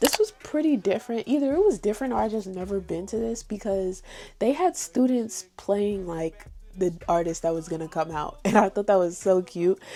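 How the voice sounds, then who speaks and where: With music in the background, a woman with an American accent speaks at a moderate pace and medium pitch, her intonation lively. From New York. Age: 20s. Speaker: college student. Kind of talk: casual talk to camera.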